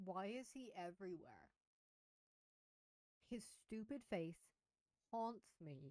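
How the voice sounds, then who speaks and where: Quiet and very slow, a woman speaks at medium pitch in a dark, mellow tone. Her intonation is lively, with long, frequent pauses. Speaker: streamer reacting to videos. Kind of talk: casual live stream commentary. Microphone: mic was too quiet, adjusted.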